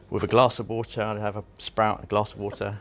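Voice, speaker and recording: Against a quiet background, a man talks at a fairly quick pace in a fairly low-pitched voice. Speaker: chef. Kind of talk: casual interview conversation. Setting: restaurant, on location.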